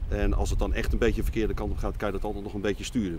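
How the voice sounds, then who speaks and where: A man at a very fast pace, dry sound with no echo, and noticeable background noise. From Netherlands, Lelystad; Netherlands. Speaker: driving instructor trainer. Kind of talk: interview. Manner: halting. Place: street.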